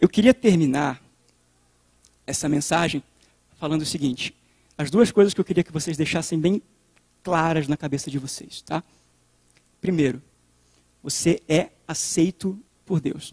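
Pausing long and often, a man with a fairly high voice speaks at a moderate pace with ordinary pitch variation. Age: 30s. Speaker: youth preacher. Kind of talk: sermon.

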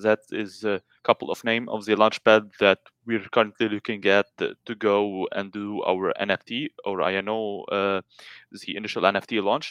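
A man speaks at a moderate pace in a flat, monotone delivery. The background is quiet. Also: dry, close sound with no echo. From Lebanon. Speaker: crypto game company executive. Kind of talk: interview. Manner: halting, many fillers.

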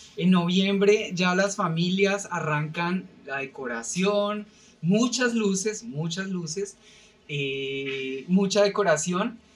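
Speaking very slowly, a man with a high pitch uses ordinary pitch variation while noticeable background noise runs underneath. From Colombia, Bogotá. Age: 30s. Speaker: podcast guest, company employee. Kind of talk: casual chat.

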